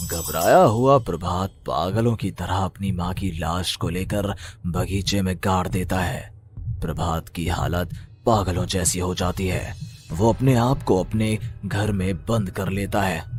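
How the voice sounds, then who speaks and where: Clear background noise sits behind a man doing a cartoonish character voice. His pitch is very deep and low, and his pace is moderate. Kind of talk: horror narration.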